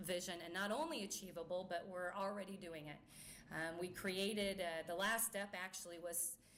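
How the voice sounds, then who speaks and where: In a room with audible echo, a woman speaks at a moderate pace, medium pitch and fairly even intonation. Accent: American. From US Midwest, rural Missouri-Iowa border. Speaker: company chief executive. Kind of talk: press conference speech. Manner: halting, many filler words.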